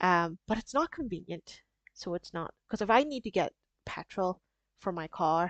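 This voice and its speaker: Speaking at a moderate pace and a medium pitch, a woman with a strong Northern Irish accent uses lively intonation, recorded with a dry, close sound and no echo. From Northern Ireland. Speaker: small business craft streamer. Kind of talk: casual live stream chat. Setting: live stream.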